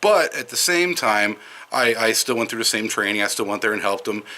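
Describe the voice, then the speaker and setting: This man speaks at medium pitch with a slight Wisconsin accent. His tone is bright and sharp. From Madison, Wisconsin. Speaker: vlogger. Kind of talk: casual monologue. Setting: outdoors. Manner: hesitant, with fillers.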